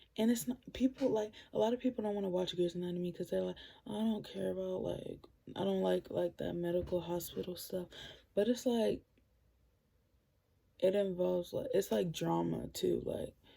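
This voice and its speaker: The quiet voice moves at a moderate pace with long, frequent pauses. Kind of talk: casual vlog recommendations.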